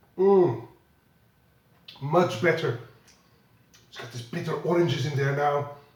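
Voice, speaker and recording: This man talks at a fairly slow pace, with long, frequent pauses and ordinary pitch variation. His pitch is fairly high, and audible room echo surrounds the voice. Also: big swings in loudness. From Belgium. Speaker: whisky blogger. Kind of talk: whisky tasting review. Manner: halting, with repetitions.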